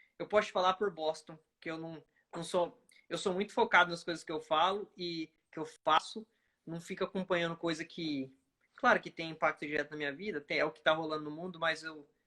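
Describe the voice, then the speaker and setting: A man with a strong Brazilian accent speaks at a fairly quick pace and high pitch, with fairly even intonation and big swings in loudness. The recording is very clean, with a silent background. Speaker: oncology physician. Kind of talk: casual chat.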